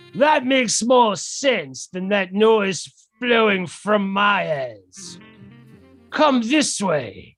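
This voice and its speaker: Over background music, a man puts on a character voice, high-pitched and lively in intonation, at a very slow pace. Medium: audio drama. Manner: stiff, formal, deferential.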